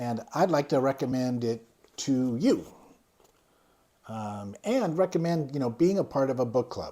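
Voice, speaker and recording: On a very clean recording with a silent background, a man talks at a moderate pace in a medium pitch with lively intonation. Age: 60s. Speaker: YouTuber reviewing a book. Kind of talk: casual vlog book review. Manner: hesitant, many fillers.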